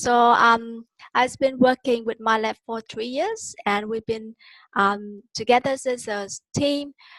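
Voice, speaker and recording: A woman with a Vietnamese accent speaks at a very slow pace, her high pitch moving with ordinary variation. Her tone is bright and sharp, and the sound is dry and close with no echo. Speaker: online course tutor. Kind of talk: webinar teaching. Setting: video call. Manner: hesitant, many fillers.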